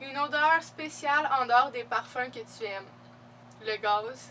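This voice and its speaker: A woman with a Quebec accent speaks at a very slow pace in a high voice with ordinary pitch variation. Noticeable background noise is present. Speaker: beauty and fashion youtuber. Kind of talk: casual Q&A vlog. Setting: home video recording with laptop. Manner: casual, many fillers.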